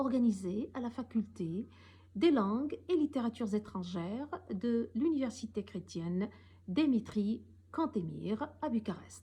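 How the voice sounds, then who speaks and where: The voice carries vocal fry and lively intonation. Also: woman. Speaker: professor. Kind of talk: recorded talk. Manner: formal; some hesitations.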